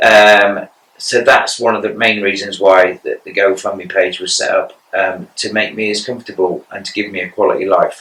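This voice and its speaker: A man talks in an English accent with hardly any pauses. His loudness swings a lot. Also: moderate pace. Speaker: cancer patient podcaster. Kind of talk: personal monologue podcast. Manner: monotone; halting.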